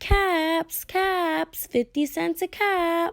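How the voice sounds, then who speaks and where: Putting on a character voice, a woman sounds squeaky and extremely high-pitched, her intonation fairly even. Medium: read story. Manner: hawking calls, growing exasperated.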